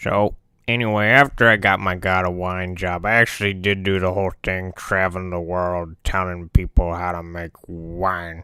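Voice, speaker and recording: A man puts on a character voice with a very deep, low pitch, speaking at a moderate pace in a very clean recording with a silent background. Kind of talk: comedic character monologue to camera. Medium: role play. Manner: casual, rambling.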